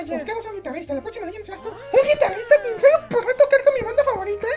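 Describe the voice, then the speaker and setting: An excited, put-on character voice at an extremely high pitch and very fast pace, over light background noise. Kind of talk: comic overacting. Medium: audio drama. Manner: excited, fast, exclamatory.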